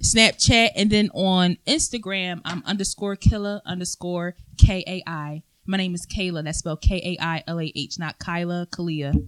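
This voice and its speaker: A plain, everyday voice from a woman, fairly low in pitch, at a moderate pace with fairly even intonation and big swings in loudness, in a dry, close sound with no echo. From Philadelphia, Pennsylvania. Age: 20s. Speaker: podcast guest. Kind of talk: casual chat.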